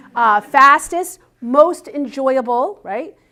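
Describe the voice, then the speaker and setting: Her intonation is lively as the woman talks. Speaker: business coach speaker. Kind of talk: seminar talk. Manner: fast.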